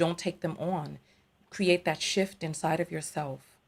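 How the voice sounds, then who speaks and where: A woman with a fairly low pitch and an American accent, at a moderate pace. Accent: masked New York accent on broadcast. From New York, the Bronx. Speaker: tarot reader and live show host. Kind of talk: live call-in show.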